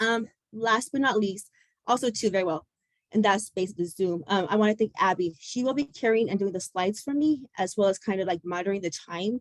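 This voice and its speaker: The sound is dry and close with no echo as a woman speaks fairly quickly in a medium pitch with ordinary pitch variation. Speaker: public speaker on addiction recovery. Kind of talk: personal testimony presentation. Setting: video call. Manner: fast, words mushed together.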